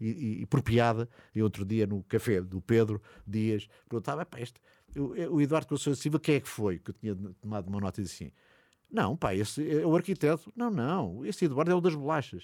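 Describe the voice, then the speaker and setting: A man's dark, mellow voice of medium pitch moves at a fairly quick pace with very wide pitch swings, captured dry and close with no echo in a very clean recording with a silent background. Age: 60s. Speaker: podcast host and city guide. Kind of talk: narrated walking tour.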